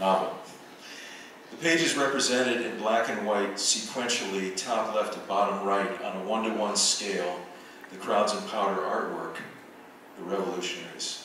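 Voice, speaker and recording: A man's fairly low voice at a moderate pace, with long, frequent pauses, strong room echo and light background noise. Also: ordinary pitch variation. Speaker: visual artist and professor. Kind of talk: lecture. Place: hall.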